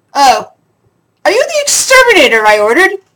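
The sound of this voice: Fairly quick and gruff, a put-on character voice jumps around at an extremely high pitch in very wide swings.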